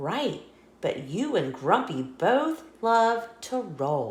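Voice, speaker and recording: A female-sounding voice does a put-on character voice at a fairly high pitch. It moves at a very slow pace. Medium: read story. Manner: upbeat, confident.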